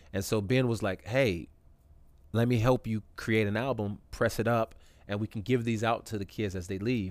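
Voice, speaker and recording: In an unremarkable speaking voice with an American accent, a man speaks at a moderate pace with ordinary pitch variation on a very clean recording with a silent background. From California. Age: 40s. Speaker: hip-hop artist. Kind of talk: casual chat.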